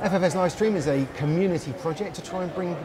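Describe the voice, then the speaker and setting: A man speaks over noticeable background noise. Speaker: livestream host. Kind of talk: casual interview chat. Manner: jokey, chatty. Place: bar.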